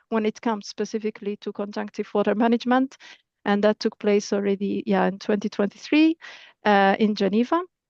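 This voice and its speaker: This woman has a fairly high pitch and ordinary pitch variation. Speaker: project coordinator presenting at a webinar. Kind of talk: webinar presentation. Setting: online webinar. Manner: halting, many repetitions and fillers.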